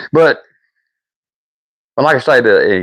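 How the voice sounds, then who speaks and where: This man talks at a moderate pace with a strong Southern US accent. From US South. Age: old. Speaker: woodworking live streamer. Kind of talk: casual live stream chat. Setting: workshop. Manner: halting, repetitive.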